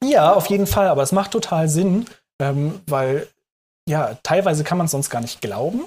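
Here a man speaks at a moderate pace with a fairly high pitch. His intonation is lively. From Hamburg, northern Germany. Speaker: food startup consultant. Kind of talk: interview. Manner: hesitant, many filler sounds.

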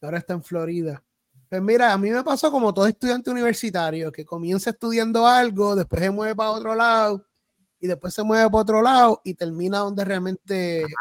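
A high-pitched man with ordinary pitch variation, in a very clean recording with a silent background and a dry, close sound with no echo. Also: fairly quick pace. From Puerto Rico (Salinas, south coast). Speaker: pastor and theology student. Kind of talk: casual interview.

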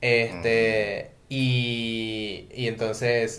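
Music plays in the background as a man talks with audible room echo. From Venezuela. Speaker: podcast co-host. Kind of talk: casual chat.

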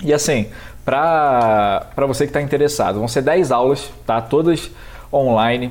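A fairly slow delivery in an ordinary speaking voice, its pitch varying in an ordinary way. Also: man, medium pitch for a man. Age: 20s. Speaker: American football referee. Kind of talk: casual chat.

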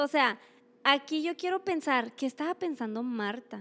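The recording is very clean, with a silent background. A woman talks at a moderate pace with a high pitch. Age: young. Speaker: women's ministry speaker. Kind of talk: sermon.

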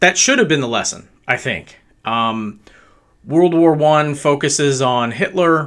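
Recorded very cleanly with a silent background, a man with fairly high pitch and ordinary pitch variation speaks at a very slow pace. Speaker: podcast host. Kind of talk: solo commentary monologue. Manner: casual, filler-heavy speech.

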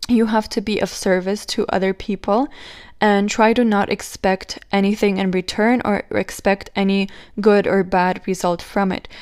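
In a very clean recording with a silent background, a woman with a non-native accent speaks at a moderate pace in a monotone, flat intonation. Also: medium pitch for a woman. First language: not English. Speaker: spiritual podcast host. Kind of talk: solo podcast monologue. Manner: casual, slightly halting.

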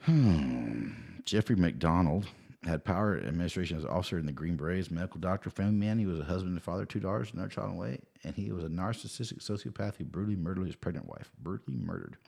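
Very fast and lively in its intonation, a man's very deep, low voice carries vocal fry and a dark, mellow tone with an American accent. The recording is very clean, with a silent background. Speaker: podcast co-host. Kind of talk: casual chat. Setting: studio.

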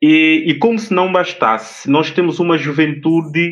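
A man speaks at a fairly slow pace in a fairly high pitch, with a plain, everyday voice. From São Tomé and Príncipe. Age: young. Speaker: TV interviewer. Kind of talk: interview.

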